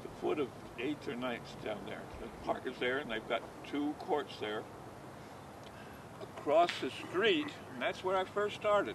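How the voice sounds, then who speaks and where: The speech moves at a fairly slow pace with long, frequent pauses amid noticeable background noise. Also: man, fairly high pitch for a man. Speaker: bocce league founder. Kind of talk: interview answer.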